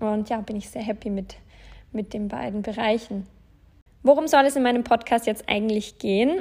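A woman at a fairly high pitch with ordinary pitch variation, a moderate pace, big swings in loudness, and long, frequent pauses. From Bavaria, Germany (Landshut). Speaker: podcast host, self-employed influencer. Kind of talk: casual solo podcast monologue.

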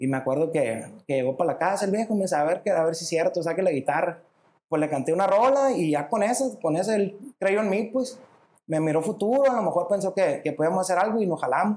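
In a northern Mexican accent, a man with a high pitch talks at a very fast pace. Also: lively intonation. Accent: northern Mexican (Sonora). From Hermosillo, Sonora, Mexico. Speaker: musician and songwriter. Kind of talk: casual interview chat.

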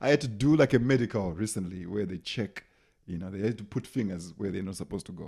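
A man's fairly low, dark and mellow voice in a Zimbabwean accent, very fast, with ordinary pitch variation, on a very clean recording with a silent background. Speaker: comedian. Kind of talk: casual chat, comedy storytelling. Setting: studio. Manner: animated.

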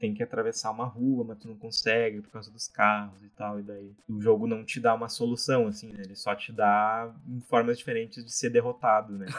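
Monotone, flat intonation with big swings in loudness. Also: man, medium pitch for a man, moderate pace, hardly any pauses. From Brazil, Porto Alegre. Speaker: indie game developer. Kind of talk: casual interview.

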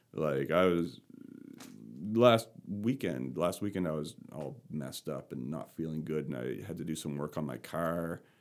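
A man's very deep, low voice carries vocal fry. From Canada, rural Nova Scotia. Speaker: podcast guest sharing experience with anxiety. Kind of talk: casual conversational interview. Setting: in-person recording in the same room.

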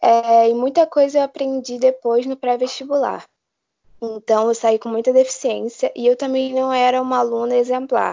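Her pitch sits high for a woman, and her intonation stays fairly even. She speaks at a moderate pace. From Brazil, Rio de Janeiro. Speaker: medical student. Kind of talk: interview.

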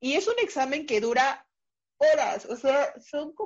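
A woman in a Mexico City accent with very wide pitch swings. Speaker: pediatric cardiologist. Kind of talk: interview.

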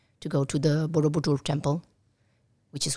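A woman's very deep, low voice, dark and mellow in tone and somewhat breathy. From Italy, raised abroad by Colombian parents. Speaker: embassy staff member and mother. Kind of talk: interview. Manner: halting, many fillers.

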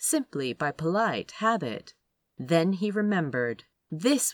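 Against a quiet background, someone does plain reading aloud with lively intonation.

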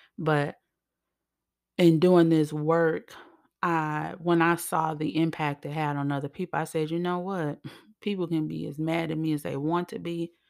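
A woman's low-pitched, slightly mellow voice with vocal fry and an American accent, fairly slow, with little pitch movement, on a very clean recording with a silent background.

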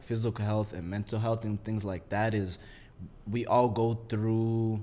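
A man with an American accent speaks at a medium pitch and a moderate pace in an unremarkable speaking voice. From Minneapolis suburbs, Minnesota. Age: 20s. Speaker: military veteran. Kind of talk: casual chat.

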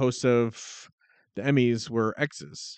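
A man speaks in an animated tone. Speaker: podcast co-host. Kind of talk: casual chat. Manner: animated, laughs often.

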